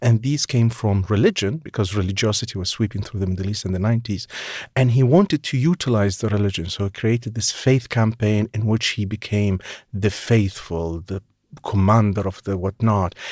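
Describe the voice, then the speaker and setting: In an Arabic accent, the speaker goes at a fairly quick pace with ordinary pitch variation, the recording very clean and the background silent. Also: man, fairly low pitch for a man. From Iraq, Baghdad. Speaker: journalist and author. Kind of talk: interview.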